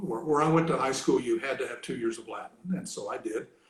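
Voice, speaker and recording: A man, somewhat breathy, at a fairly quick pace. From Kentucky, US South. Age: 70s. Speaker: retired academic, language hobbyist. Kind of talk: casual interview. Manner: hesitant, many fillers.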